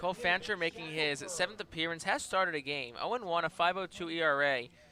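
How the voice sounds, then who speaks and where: Loud and bright with a sharp tone, a man's high-pitched voice moves at a fairly quick pace in a dry, close sound with no echo on a very clean recording with a silent background. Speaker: baseball color commentator. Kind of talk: live commentary. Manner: loud, projecting.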